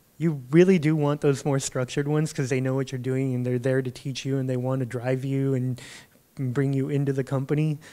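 Speaking with an American accent, a man keeps a monotone, flat intonation. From San Diego, California; California. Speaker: data product manager, game industry; panelist. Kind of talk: panel talk. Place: hall. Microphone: handheld.

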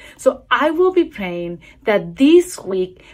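Against a quiet background, a woman with a non-native accent talks at a very slow pace with very wide pitch swings. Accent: noticeable foreign. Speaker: church devotional speaker; speaker. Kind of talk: recorded video devotional. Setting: recorded video. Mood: warm, encouraging. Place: home room. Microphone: phone near.

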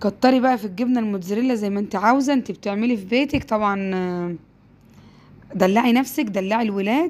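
A woman with an Egyptian accent at a fairly quick pace, fairly high in pitch and animated in tone. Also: ordinary pitch variation. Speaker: home cooking youtuber. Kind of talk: cooking tutorial.

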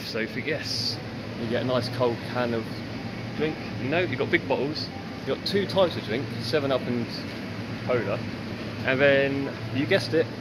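A man at a moderate pace with ordinary pitch variation and long, frequent pauses, amid loud background noise. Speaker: travel vlogger. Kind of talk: casual vlog chat. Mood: amused, wry. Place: shop. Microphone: phone near.

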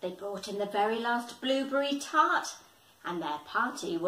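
The reading voice here is unforced. Lively intonation carries it along.

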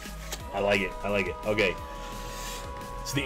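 The text is read out. It comes in an unforced reading voice.

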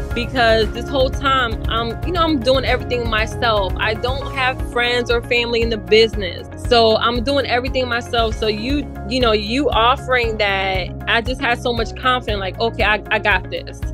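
A woman talks at a moderate pace with hardly any pauses, with clear music in the background. The sound is dry, with no echo. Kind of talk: interview answer. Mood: grateful, upbeat.

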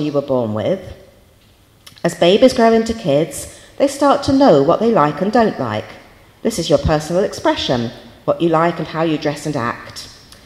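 A woman at a moderate pace, her pitch swinging very widely, with audible room echo. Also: medium pitch for a woman. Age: 50s. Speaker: university lecturer. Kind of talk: lecture. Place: hall. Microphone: handheld.

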